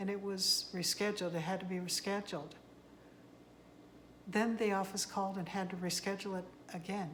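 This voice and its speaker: A woman talks at a moderate pace and medium pitch, her intonation flat and monotone. Room echo is audible, and background noise is noticeable. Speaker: tarot card reader. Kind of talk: casual monologue to camera. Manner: soft-spoken; halting. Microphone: no microphone.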